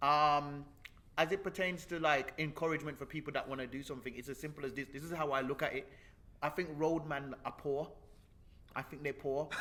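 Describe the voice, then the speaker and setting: This man's voice is fairly high, with a bright, sharp tone. He speaks at a fairly quick pace with fairly even intonation. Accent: Birmingham. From Jamaica, then Birmingham from about age 11. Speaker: comedian and YouTuber. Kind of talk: interview conversation. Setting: mansion.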